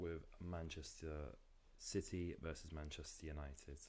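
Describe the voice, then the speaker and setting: In a London accent, a man with a very deep, low voice talks at a moderate pace with fairly even intonation. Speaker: football streamer. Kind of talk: live watchalong commentary. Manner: casual, conversational.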